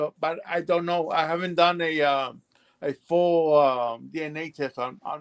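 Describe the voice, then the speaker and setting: A man with a strong Mexican accent, fairly high pitch, fairly even intonation, and a fairly slow pace. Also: dry, close sound with no echo. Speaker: livestream participant. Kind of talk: casual chat. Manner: halting.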